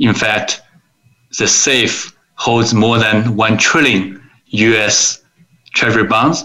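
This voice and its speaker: A man with a Chinese accent at a very slow pace, long and frequent pauses, very even loudness and fairly even intonation. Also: medium pitch for a man. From China, Suzhou near Shanghai. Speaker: investor, attorney and author. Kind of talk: interview.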